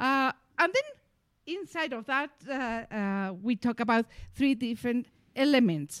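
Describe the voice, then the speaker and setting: A woman with a Mexican accent, high in pitch, lively in intonation and fairly slow in pace, in a very clean recording with a silent background and a dry, close sound with no echo. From Mexico. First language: Spanish. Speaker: co-founder of personal development business, former English teacher. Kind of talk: casual conversational discussion.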